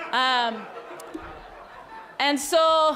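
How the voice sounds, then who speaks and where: The speaker is a woman with a non-native accent. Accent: foreign. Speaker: academic and farmer, festival speaker. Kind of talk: conference talk.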